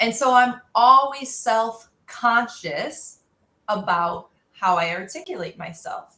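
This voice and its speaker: A woman's fairly high, bright and sharp voice at a very slow pace, with very wide pitch swings and big swings in loudness. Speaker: career coach, live stream host. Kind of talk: casual chat. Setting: live stream.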